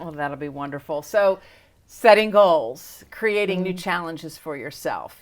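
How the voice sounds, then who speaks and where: A plain, everyday voice speaks at a moderate pace. Its intonation is lively. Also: woman, fairly low pitch for a woman. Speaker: interviewer, host. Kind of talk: interview question.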